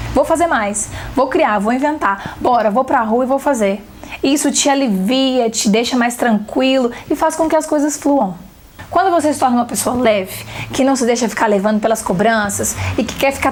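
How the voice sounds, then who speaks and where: A woman with a high voice sounds animated, her intonation lively. Background noise is noticeable. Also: very even loudness. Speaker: photography teacher. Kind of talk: online seminar talk. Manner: fast.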